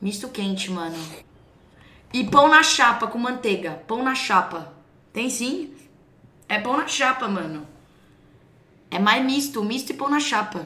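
A woman's fairly slow, fairly high-pitched voice in a São Paulo accent, with lively intonation, long, frequent pauses and noticeable background noise. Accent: paulistano. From São Paulo, Brazil. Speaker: streamer reacting to clips. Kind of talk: casual reaction chat with slang.

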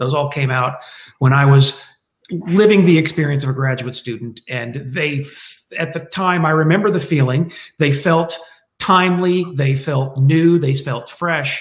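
With an American accent, a man speaks somewhat breathily at a fairly slow pace and fairly high pitch, showing ordinary pitch variation amid audible room echo. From United States. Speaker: military historian; guest. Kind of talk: panel discussion. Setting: video call. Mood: reflective, slightly wry. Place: home room. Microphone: webcam.

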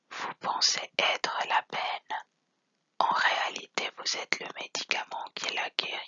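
Whispering at a very slow pace. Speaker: channel host reading quotes. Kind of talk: ASMR quote reading. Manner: whispered, soft-spoken.

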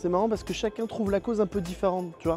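Faint music plays behind a man whose voice sits high for a man, recorded dry with no echo. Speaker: comedic vlogger. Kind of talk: casual vlog chat. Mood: sarcastic, joking. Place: open country. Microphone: lapel.

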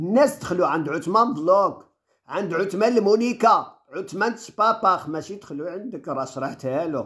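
A high-pitched man at a moderate pace, lively in intonation, with big swings in loudness and hardly any pauses, over a quiet background. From Morocco. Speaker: vlogger. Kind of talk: vlog monologue. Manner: animated. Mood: indignant, defiant. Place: home room. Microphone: phone near.

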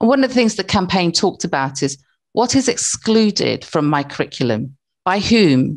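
A woman with a British accent speaks at a moderate pace, her pitch swinging very widely, with vocal fry and a quiet background. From born in Africa, grew up in England. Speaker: university academic, former social worker; webinar presenter. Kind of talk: webinar presentation. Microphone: video call.

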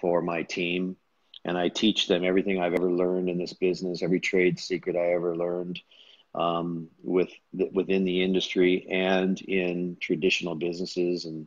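With a very deep, low pitch and flat, monotone intonation, a man speaks at a moderate pace in a dry recording with no echo against a quiet background. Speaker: guest. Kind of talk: interview answer. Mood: earnest, self-promoting. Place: home room. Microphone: earbuds.

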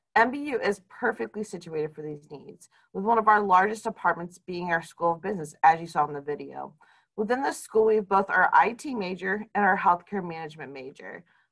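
The speech moves at a fairly quick pace with lively intonation. Loudness swings widely over a quiet background. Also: woman, medium pitch for a woman. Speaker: career development director; presenter. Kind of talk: scripted presentation. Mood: warm, encouraging. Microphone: webcam.

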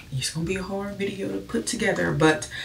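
A woman speaks with light background noise. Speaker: vlogger. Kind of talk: casual vlog chat. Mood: earnest, personal, reflective. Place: bathroom. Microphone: phone near.

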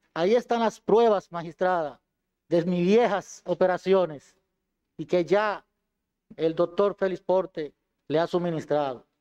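Over a quiet background, a man with a high voice and a dark, mellow tone talks at a fairly slow pace with ordinary pitch variation and long, frequent pauses. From Dominican Republic, Duarte province; Dominican Republic. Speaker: defendant, former police colonel. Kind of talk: court statement. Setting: courtroom. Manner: formal. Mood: earnest, defensive. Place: hall. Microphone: podium.

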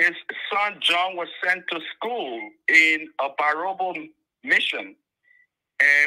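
A man speaks with a high pitch and a bright, sharp tone. The background is quiet. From Liberia. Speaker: caller. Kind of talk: phone-in call.

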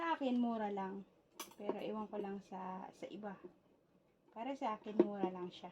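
A woman with a medium pitch and ordinary pitch variation speaks at a moderate pace, her loudness swinging widely, with long, frequent pauses and noticeable background noise. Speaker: YouTube vlogger. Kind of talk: unboxing vlog. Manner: animated.

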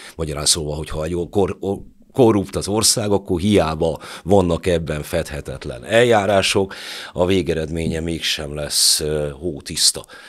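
At a fairly slow pace, a man with a very deep, low pitch talks with ordinary pitch variation against a quiet background. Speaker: podcast host; podcast host, moderator. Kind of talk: moderated interview discussion. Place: studio. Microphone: studio mic.

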